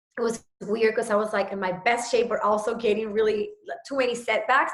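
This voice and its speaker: A woman with a Puerto Rican accent speaks at a moderate pace in a fairly high voice, her intonation fairly even. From Puerto Rico. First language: Spanish. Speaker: fitness trainer. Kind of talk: personal story on a video call.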